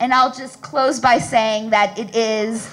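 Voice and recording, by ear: A woman talks at a moderate pace in a fairly bright tone.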